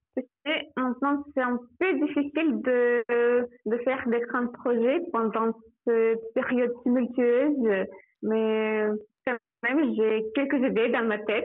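A woman with a Russian accent speaks at a very slow pace and high pitch, her loudness very even, with long, frequent pauses. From Russia, Samara. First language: Russian (speaking French). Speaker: migration specialist, former European volunteer. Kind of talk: radio interview. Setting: phone call. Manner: halting.

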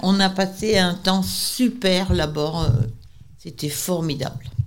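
Her voice sits at a fairly low pitch for a woman. She uses lively intonation. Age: old. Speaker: senior centre member. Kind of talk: casual chat.

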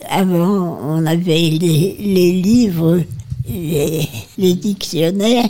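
A woman's fairly low voice has a dark, mellow tone and ordinary pitch variation. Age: 80s+. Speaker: nursing home resident. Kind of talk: reminiscence.

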